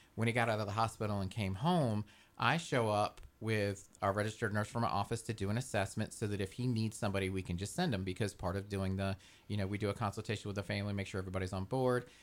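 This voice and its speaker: A man with an American accent speaks very fast at a fairly low pitch, his intonation fairly even. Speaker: home care agency representative. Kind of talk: casual radio interview. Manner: jokey.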